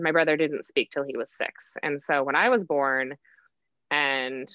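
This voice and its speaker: Ordinary pitch variation in an American accent. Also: woman. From Wisconsin. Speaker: guest sharing chronic illness story. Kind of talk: casual interview chat.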